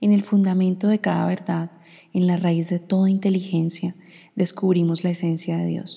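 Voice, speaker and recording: A woman speaks at a medium pitch and moderate pace in a dark, mellow tone. She is somewhat breathy, with monotone, flat intonation. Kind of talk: devotional reflection.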